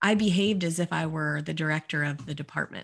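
A woman's normal speaking voice at a fairly quick pace, with ordinary pitch variation and a quiet background. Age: 40s. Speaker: life coach and business founder. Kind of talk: podcast interview.

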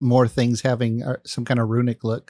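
An ordinary speaking voice moves at a fairly quick pace, with dry, close sound, no echo, and a very clean recording with a silent background. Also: man. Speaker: podcast host and video game content creator. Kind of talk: casual chat.

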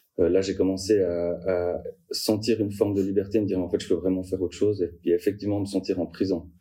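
A man talks at a very fast pace in a very deep, low pitch, his intonation monotone and flat and his tone dark and mellow. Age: 20s. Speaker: career changer sharing his story. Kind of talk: personal testimony interview. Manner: hesitant, many fillers.

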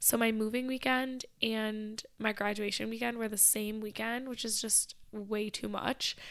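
At a fairly slow pace, a woman with an American accent speaks in a fairly high pitch with monotone, flat intonation. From Michigan. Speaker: podcast host. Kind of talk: casual chat.

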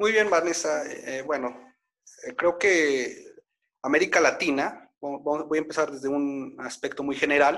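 A man at a fairly high pitch, with ordinary pitch variation and a very slow pace. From Mexico (Puebla). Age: 20s. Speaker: public administration researcher. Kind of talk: online interview / panel talk.

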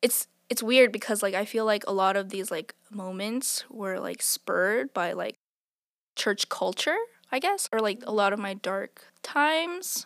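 A woman's plain, everyday voice, fairly high in pitch and fairly slow, in a very clean recording with a silent background and a dry, close sound with no echo. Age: 20s. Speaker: church member sharing testimony. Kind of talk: testimony.

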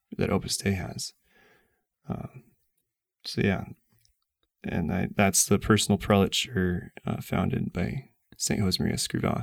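In a very clean recording with a silent background, a man with a fairly low pitch and vocal fry speaks at a fairly slow pace with ordinary pitch variation and long, frequent pauses. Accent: American. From US Midwest, Nebraska. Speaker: guest. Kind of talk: casual chat. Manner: halting.

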